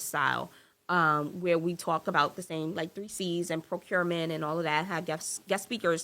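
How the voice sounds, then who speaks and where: A woman's fairly low voice with an American accent, bright and sharp in tone, at a moderate pace, on a very clean recording with a silent background. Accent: New York accent, slips out. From New York. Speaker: entrepreneur, marketing agency owner. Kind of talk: podcast interview. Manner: animated.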